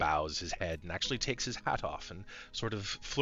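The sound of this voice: Reading in an unforced voice, the speaker uses lively intonation.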